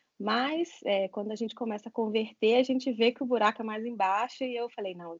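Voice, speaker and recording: A woman talks at a fairly quick pace in an unremarkable speaking voice, fairly high in pitch with ordinary pitch variation, and the sound is dry and close with no echo. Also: hardly any pauses. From Brazil, Minas Gerais (Caratinga, Juiz de Fora). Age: 20s. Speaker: nurse. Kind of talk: interview.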